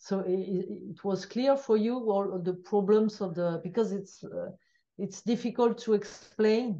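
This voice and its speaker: A woman with a French accent speaks fairly slowly at a medium pitch, in a dark, mellow tone with fairly even intonation. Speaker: biostatistician. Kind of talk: interview. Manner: halting.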